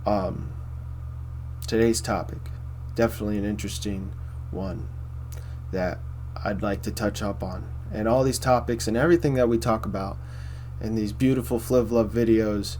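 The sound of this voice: At a moderate pace and with long, frequent pauses, a man speaks at a fairly low pitch. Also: fairly even intonation.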